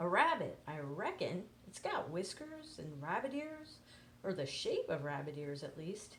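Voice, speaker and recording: A woman puts on a character voice at a medium pitch. Clear background noise sits behind her. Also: moderate pace. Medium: read story. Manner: drawling, easygoing.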